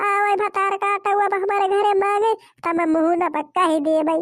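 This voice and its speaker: A woman puts on a cartoonish character voice. She keeps to a moderate pace. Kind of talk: rustic comic cartoon acting. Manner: loud, cursing, dramatic.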